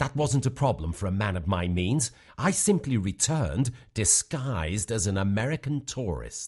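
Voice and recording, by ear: Using a put-on character voice, a man talks at a fairly slow pace with a fairly low pitch, a slightly husky edge, a slightly mellow tone and big pitch swings. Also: very clean recording, silent background.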